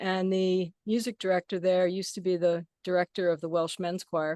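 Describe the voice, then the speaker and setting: A woman's medium-pitched, an unremarkable speaking voice at a moderate pace, dry and close with no echo. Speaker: gong player and sound healer. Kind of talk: casual chat. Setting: video call.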